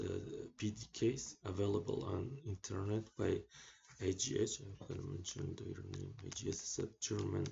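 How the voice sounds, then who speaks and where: A man speaks at a fairly slow pace with a fairly low pitch. His voice is somewhat breathy and his intonation fairly even. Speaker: electronics engineering tutor. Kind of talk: tutorial. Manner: slow, halting with many fillers.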